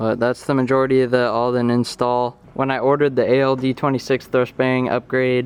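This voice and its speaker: Against noticeable background noise, a man speaks at a moderate pace and medium pitch. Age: 19. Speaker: car build youtuber. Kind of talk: tutorial. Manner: casual.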